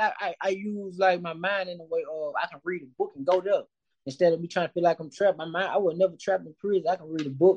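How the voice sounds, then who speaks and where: A man's high-pitched voice at a very fast pace, dry and close with no echo. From Mississippi, West Point. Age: 30s. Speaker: music producer and author. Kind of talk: casual interview.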